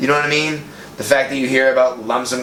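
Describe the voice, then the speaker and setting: With an American accent, a man speaks at medium pitch in a monotone, flat intonation, with audible room echo and noticeable background noise. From US Northeast, Boston. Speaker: podcast co-host. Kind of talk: casual chat.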